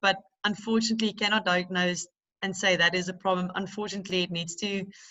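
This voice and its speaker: A woman with a South African accent, medium pitch and a fairly quick pace. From South Africa, Cape Town area. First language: Afrikaans. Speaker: teacher. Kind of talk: panel discussion. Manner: halting.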